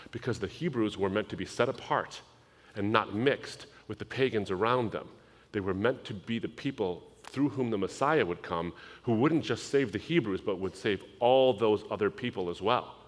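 An American man has an unremarkable speaking voice at medium pitch. He keeps a moderate pace and ordinary pitch variation. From US, Lebanese family background. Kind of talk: sermon.

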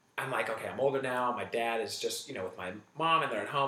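Over noticeable background noise and audible room echo, a man with an American accent talks at a very fast pace. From Northern California. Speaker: comedian. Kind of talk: casual chat.

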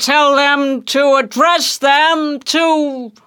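In a put-on character voice, a man talks at a very slow pace with an extremely high pitch, a bright, sharp tone, and fairly even intonation.

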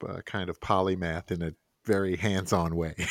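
A man with an American accent speaks at a moderate pace, the sound dry and close with no echo in a very clean recording with a silent background. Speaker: financial advisor and podcast co-host. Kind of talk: casual interview conversation.

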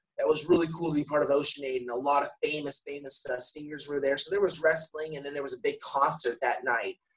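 This is a man speaking. His pitch is fairly high. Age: 30s. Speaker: professional wrestler. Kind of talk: casual interview. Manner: animated.

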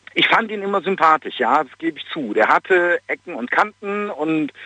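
A man's normal speaking voice, fairly slow in pace, with ordinary pitch variation. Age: 40s. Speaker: caller. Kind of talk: phone-in opinion. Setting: phone call.

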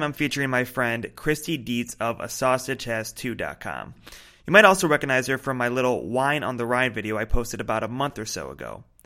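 A man talks at a fairly quick pace in a bright, sharp tone with vocal fry. His loudness swings widely, on a very clean recording with a silent background. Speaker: podcast host. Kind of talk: casual chat. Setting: outdoors.

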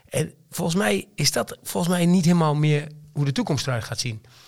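A man's fairly high, somewhat breathy voice with lively intonation and a slight Twente accent. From Twente, eastern Netherlands. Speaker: company director. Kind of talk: casual interview conversation. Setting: studio.

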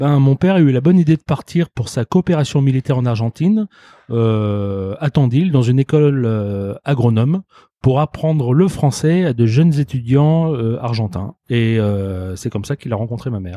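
With lively intonation and a moderate pace, a man of medium pitch has a dark, mellow tone, captured in a dry, close sound with no echo on a very clean recording with a silent background. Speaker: restaurant owner. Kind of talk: interview. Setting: restaurant.

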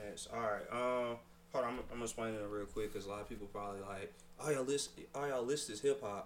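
Noticeable background noise and audible room echo accompany a man at a medium pitch. He talks at a very fast pace with fairly even intonation. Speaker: podcast co-host. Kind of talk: casual chat.

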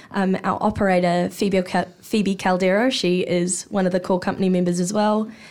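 A woman with a New Zealand accent speaks at a moderate pace and medium pitch, with hardly any pauses. Her intonation is monotone and flat, and her loudness stays very even. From New Zealand, Hawke's Bay. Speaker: actor. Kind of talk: casual chat. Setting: studio.

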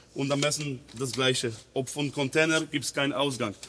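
Over noticeable background noise, a man with a Polish accent speaks at a fairly high pitch. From Poland, near Poznań. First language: Polish (speaking German). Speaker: technical trainer. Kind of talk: training session. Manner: halting, broken German.

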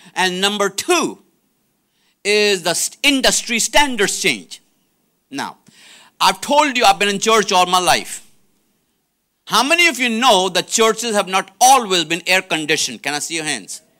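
A man projects his high, bright, sharp voice with lively intonation at a moderate pace. He leaves long, frequent pauses. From India. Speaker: preacher. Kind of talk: sermon. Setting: stage with audience. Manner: animated.

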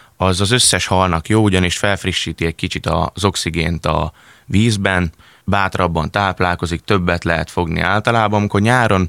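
A man's very deep, low voice with a bright, sharp tone at a moderate pace, dry and close with no echo. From Szeged, Hungary. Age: 20s. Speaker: competitive angler. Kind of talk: casual radio interview. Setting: studio.

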